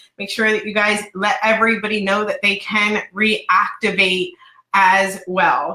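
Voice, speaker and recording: In an ordinary speaking voice, a woman talks at medium pitch and a fairly slow pace with fairly even intonation. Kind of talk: company webinar announcement.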